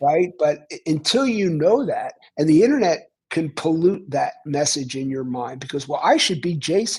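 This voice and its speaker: In a Philadelphia accent, a man speaks at a moderate pace with a fairly high pitch. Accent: Philadelphia American. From US Northeast, Philadelphia. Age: 70s. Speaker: author. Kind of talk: casual chat.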